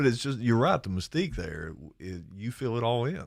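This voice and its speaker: Recorded very cleanly against a silent background, a man with an Appalachian accent speaks at a medium pitch with very wide pitch swings. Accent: eastern Kentucky Appalachian. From eastern Kentucky, Lawrence County. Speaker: high school teacher and guitarist. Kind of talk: casual chat.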